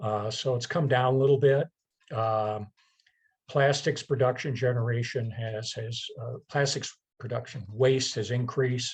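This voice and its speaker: A man talks at a fairly slow pace in a medium pitch. His voice is somewhat breathy, with fairly even intonation. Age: 60s. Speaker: environmental committee chair, presenter. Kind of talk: presentation with slides. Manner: halting, many fillers and repetitions.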